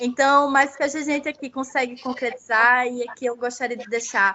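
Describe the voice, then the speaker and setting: A woman talks at a moderate pace in a high pitch, her intonation fairly even. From Paraíba, Brazil (Northeast). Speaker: legal researcher, children's rights. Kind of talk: academic seminar talk.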